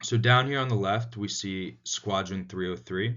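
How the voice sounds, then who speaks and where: An ordinary speaking voice from a man with an American accent, fairly slow in pace and fairly even in intonation. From United States. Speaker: student. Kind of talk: class presentation. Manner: frequent filler words (um, uh).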